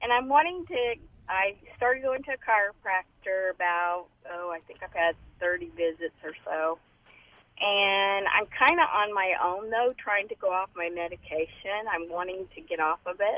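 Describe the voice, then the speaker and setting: The speaker has a plain, everyday voice and lively intonation. Loudness swings widely at a moderate pace. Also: woman, medium pitch for a woman. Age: 60s. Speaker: caller. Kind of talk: phone-in question. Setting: phone call from car. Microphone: phone via car Bluetooth.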